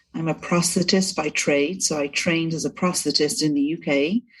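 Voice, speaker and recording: A woman in a Welsh accent with a very deep, low pitch, ordinary pitch variation and a moderate pace over a quiet background. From Wales, Cardiff. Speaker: breast cancer survivor, prosthetist, sales director. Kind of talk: podcast interview.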